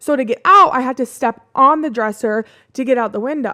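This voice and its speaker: With a Midwestern American accent, a woman speaks in a high pitch with lively intonation and an animated, bright, sharp tone. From US Midwest. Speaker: podcast host. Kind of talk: casual storytelling.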